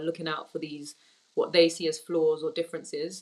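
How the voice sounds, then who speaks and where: A woman with a London accent talks at a fairly quick pace. Her pitch is fairly low. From Tottenham, North London; Turkish Cypriot family. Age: young. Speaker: women's football executive. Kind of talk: interview.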